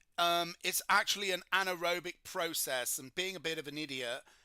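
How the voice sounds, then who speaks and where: A man with a British accent, high-pitched and bright, sharp in tone, at a moderate pace. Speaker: chemistry tutor. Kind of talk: livestream tutorial. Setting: livestream.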